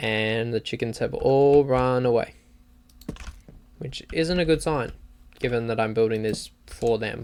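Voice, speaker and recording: The pace is fairly slow. An Australian accent colors the words. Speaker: gaming streamer. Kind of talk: live gameplay commentary. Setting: livestream. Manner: casual, halting.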